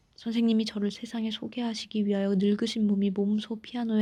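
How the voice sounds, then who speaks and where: The speaking pace is moderate, with music playing behind it. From Korea.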